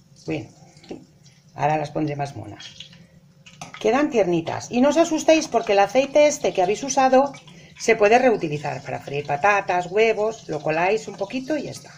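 Moderate pace with long, frequent pauses, very wide pitch swings and big swings in loudness, over light background noise. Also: woman. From Spain. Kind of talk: cooking tutorial. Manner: animated. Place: kitchen. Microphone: phone near.

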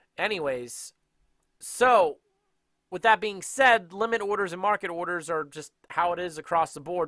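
A man's high, bright, sharp voice with lively intonation at a moderate pace, dry with no echo, over a quiet background. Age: 30s. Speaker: day trading educator. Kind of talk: tutorial. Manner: casual. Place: home room. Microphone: headset.

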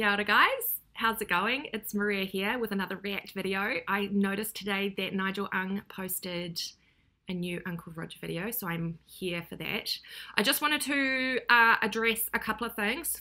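With a New Zealand accent, a woman speaks at a moderate pace and medium pitch in a bright, sharp tone, with ordinary pitch variation against a quiet background. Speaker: YouTuber reacting to videos. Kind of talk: casual reaction vlog. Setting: home recording. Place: kitchen. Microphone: webcam.

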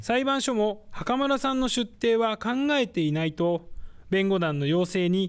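This man has a high pitch and lively intonation. He talks at a moderate pace over a quiet background. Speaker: news reporter. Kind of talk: TV news report. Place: studio. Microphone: lapel.

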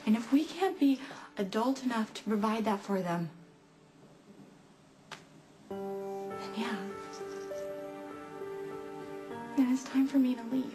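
A woman speaks at a fairly slow pace with long, frequent pauses and big swings in loudness. Clear music plays in the background. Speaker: actress in drama scene. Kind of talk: acted dramatic dialogue. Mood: upset, pleading, frustrated. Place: home room.

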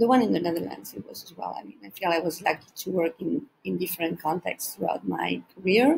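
There is light noise in the background. The speaker is a woman. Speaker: teacher presenter. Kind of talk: presentation talk. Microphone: webcam.

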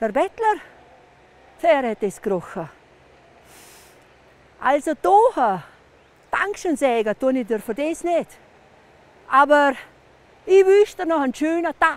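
A woman with a Vorarlberg accent, high pitch, very wide pitch swings, and long, frequent pauses, in a dry sound with no echo. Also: fairly slow pace. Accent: Montafon dialect. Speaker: storyteller. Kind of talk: folk legend telling. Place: open country.

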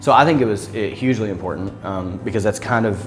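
A man at a fairly quick pace, clear music in the background. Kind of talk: interview answer. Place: cafe.

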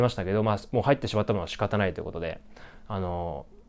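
A man at a very fast pace. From Japan. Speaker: graduate student vlogger. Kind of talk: casual vlog monologue. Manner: many fillers, halting. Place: home room. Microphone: lapel.

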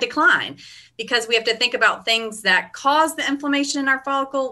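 Over a quiet background, the voice moves at a fairly quick pace with a bright, sharp tone. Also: woman. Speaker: hair care product educator. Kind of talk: interview answer. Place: home room. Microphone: video call.

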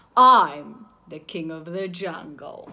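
The voice is a put-on character. Its pitch sits in the middle. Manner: important, proud.

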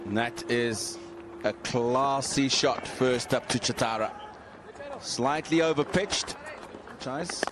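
A man speaks at a very slow pace with long, frequent pauses and ordinary pitch variation, amid noticeable background noise. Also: medium pitch for a man, very even loudness. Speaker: cricket commentator. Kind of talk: live cricket commentary. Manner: crisp, terse descriptive calls.

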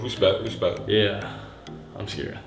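A man's voice, faint background music, and audible room echo. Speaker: video host. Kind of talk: casual vlog chat. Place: home room. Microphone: camera far.

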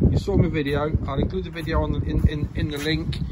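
A man is speaking. Loud background noise is heard behind him. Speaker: vlogger selling a bike. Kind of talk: casual vlog chat. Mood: cheerful, upbeat. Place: street. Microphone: phone near.

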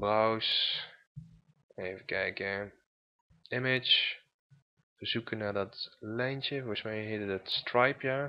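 A man at a medium pitch speaks very slowly with fairly even intonation and long, frequent pauses. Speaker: web design tutor. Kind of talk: tutorial screencast. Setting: screen recording, computer. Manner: halting, many fillers.

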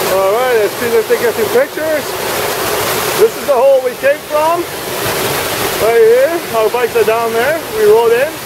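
The speech has long, frequent pauses and a dry sound with no echo. Loud background noise runs underneath. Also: moderate pace. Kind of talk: casual vlog chat. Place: waterside. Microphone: phone near.

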